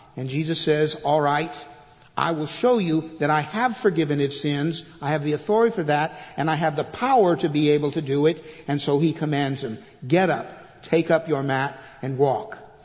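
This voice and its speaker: A man with an American accent speaks at a moderate pace in a fairly high pitch, with noticeable background noise and audible room echo. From Texas, Fort Worth. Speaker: retired pastor, guest preacher. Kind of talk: sermon. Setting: church. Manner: hesitant fillers and repetitions.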